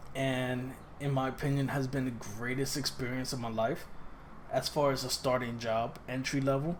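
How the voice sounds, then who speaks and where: Through audible room echo, a man talks at a moderate pace and medium pitch in a monotone, flat intonation. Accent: New York. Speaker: personal trainer. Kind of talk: casual vlog monologue. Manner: halting, self-correcting.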